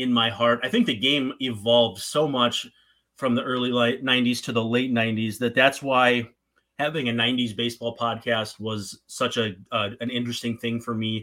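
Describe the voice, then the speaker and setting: This man speaks at a moderate pace and medium pitch with a slight Minnesotan accent. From northern Minnesota. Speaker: podcast host. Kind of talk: podcast interview, casual chat.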